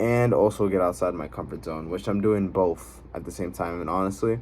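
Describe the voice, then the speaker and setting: Very deep, low-pitched man with lively intonation at a moderate pace. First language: not English. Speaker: vlogger. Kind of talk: personal vlog monologue. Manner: fillers and self-corrections.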